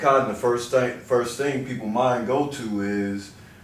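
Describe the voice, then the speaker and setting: With an American accent, a man talks at a moderate pace in a medium pitch with ordinary pitch variation, against noticeable background noise and audible room echo. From US Midwest, southeast Missouri Bootheel. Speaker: chiropractor. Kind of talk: interview. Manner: casual, repeating words.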